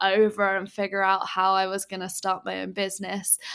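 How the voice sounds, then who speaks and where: A woman speaks at medium pitch. She has an English accent. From England. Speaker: entrepreneur. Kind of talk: casual interview chat. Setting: video call from Bali, late at night.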